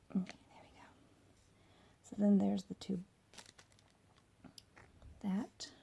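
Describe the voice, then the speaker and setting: A soft-spoken woman with a dark, mellow tone, somewhat breathy, at medium pitch and moderate pace. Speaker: cosplay crafter. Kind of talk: tutorial with ASMR twist, casual talk to camera.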